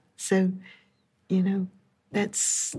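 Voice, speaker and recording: A very slow, somewhat breathy woman's voice at a medium pitch. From England, London area. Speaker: professor. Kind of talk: interview. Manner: casual, with fillers.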